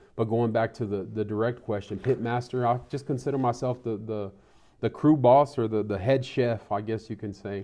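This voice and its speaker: A man speaks with a West Texas accent at a moderate pace. His pitch is medium and his intonation fairly even. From Texas, Terry County. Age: 40s. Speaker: mayor and barbecue cook. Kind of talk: interview.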